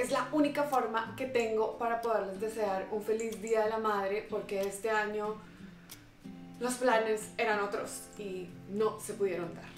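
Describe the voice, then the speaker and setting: In a Colombian accent, a woman speaks at a fairly slow pace and fairly high pitch with fairly even intonation, amid audible room echo and faint music in the background. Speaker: vlogger. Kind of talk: emotional personal message to camera. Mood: warm, emotional, affectionate. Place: home room.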